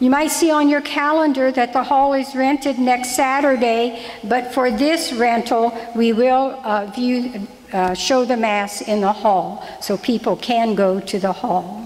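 The woman's pitch is high, with ordinary variation. She talks at a fairly slow pace with very even loudness. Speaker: lay reader giving parish announcements. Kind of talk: church announcements and prayer intro. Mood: gentle, light humor then solemn. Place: church. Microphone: podium.

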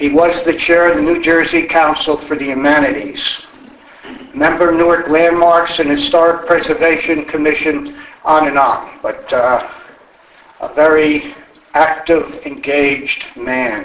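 Audible room echo surrounds a man who speaks at a fairly slow pace in a high pitch. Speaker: event moderator for a history society. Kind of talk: event introduction. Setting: stage with audience. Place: hall.

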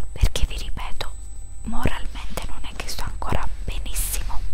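A woman speaks in a soft-spoken way. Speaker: video creator. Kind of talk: casual vlog chat. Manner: soft-spoken, hushed ASMR voice. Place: home room. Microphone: headset.

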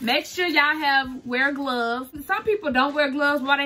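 A woman's high, bright, sharp voice, raised and projected, at a fairly quick pace. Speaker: content creator, custom shoe maker. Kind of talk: casual tutorial vlog. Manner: casual, chatty. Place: home room. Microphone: phone near.

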